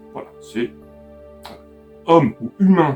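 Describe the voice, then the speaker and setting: A man talks, his pitch swinging very widely. Behind him, music plays. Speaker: YouTuber. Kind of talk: casual talk to camera.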